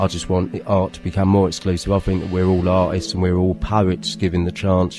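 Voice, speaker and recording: With music in the background, a man in a South London accent speaks at a very deep, low pitch with fairly even intonation. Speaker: performance poet and artist. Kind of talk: radio interview answer. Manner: casual, conversational.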